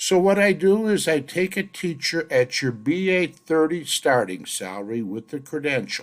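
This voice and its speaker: The speaker is a man. His pitch swings very widely. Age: 70s. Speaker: statistician presenting salary research. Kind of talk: narrated data walkthrough. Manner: casual, conversational.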